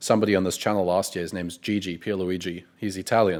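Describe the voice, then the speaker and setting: On a very clean recording with a silent background, a man with a South African accent speaks fairly quickly in a fairly low voice with ordinary pitch variation. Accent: South African, clean pronunciation. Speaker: copywriting coach, interviewer. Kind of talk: interview.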